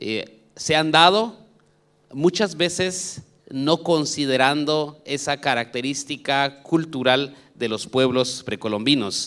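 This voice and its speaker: Speaking at a very slow pace, a man with a Guatemalan accent has a fairly high pitch and ordinary pitch variation. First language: K'iche' (speaking Spanish). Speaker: education official. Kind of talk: conference talk.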